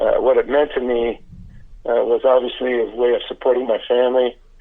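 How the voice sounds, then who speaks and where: A man speaking at a moderate pace. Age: 60s. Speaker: former pro baseball pitcher, now pitching coach. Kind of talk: casual interview. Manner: halting, many fillers.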